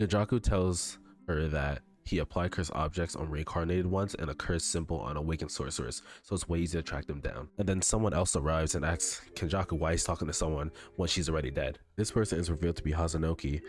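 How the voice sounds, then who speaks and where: A man talks at a very fast pace with a very deep, low pitch. His intonation is fairly even, and music plays in the background. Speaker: anime content creator. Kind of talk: casual manga chapter recap.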